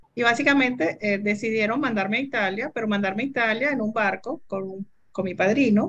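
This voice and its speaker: With a normal speaking voice, a woman keeps a moderate pace and ordinary pitch variation. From Venezuela. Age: 60s. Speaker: entrepreneur and computer scientist. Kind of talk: interview.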